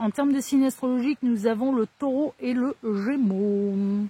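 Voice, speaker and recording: Speaking at a fairly slow pace, a woman has a fairly high pitch, a dark, mellow tone and ordinary pitch variation. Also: dry, close sound with no echo. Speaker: tarot card reader. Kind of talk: tarot reading. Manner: casual.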